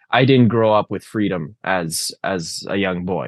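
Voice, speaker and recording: Here is a man with an unremarkable speaking voice, pitched fairly low, with ordinary pitch variation. The sound is dry and close with no echo, over a quiet background. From Canada (Alberta). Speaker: political candidate. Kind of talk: interview.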